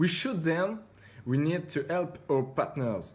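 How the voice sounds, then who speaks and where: A man with a French accent speaks very slowly at a fairly high pitch. His voice is somewhat breathy, with ordinary pitch variation. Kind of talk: interview answer.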